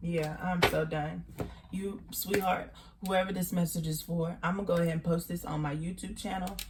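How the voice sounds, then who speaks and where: A woman with a Texan accent, fairly low in pitch, at a moderate pace with monotone, flat intonation over noticeable background noise. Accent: country Texan. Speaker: tarot reader. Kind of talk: tarot reading. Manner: casual, repetitive, halting.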